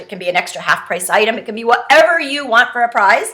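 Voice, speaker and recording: A woman talks at a very fast pace with a high pitch. Her intonation is lively over noticeable background noise. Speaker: direct sales trainer. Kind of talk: tutorial. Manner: casual, chatty.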